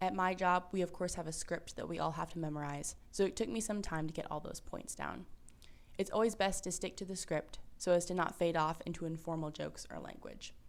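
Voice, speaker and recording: Her fairly low-pitched voice showing vocal fry, a woman speaks at a fairly quick pace with fairly even intonation. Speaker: university student tour guide. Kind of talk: tutorial. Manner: fast.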